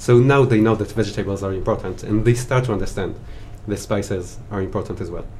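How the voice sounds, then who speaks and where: A man with an Israeli accent talks very fast in a fairly low voice, his intonation fairly even. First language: Hebrew. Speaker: spice merchant, former chef. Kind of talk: interview chat.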